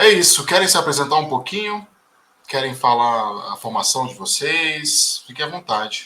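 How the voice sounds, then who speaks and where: Lively intonation at a moderate pace in a man's fairly high-pitched, a plain, everyday voice. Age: 30s. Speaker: book club organizer. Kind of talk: casual group discussion.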